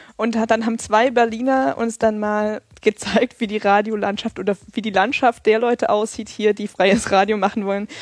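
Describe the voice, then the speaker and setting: An unremarkable speaking voice from a woman, fairly high in pitch, with fairly even intonation, moderate pace, hardly any pauses and a dry, close sound with no echo. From Thuringia, eastern Germany (Erfurt). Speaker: community radio journalist. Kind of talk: casual interview.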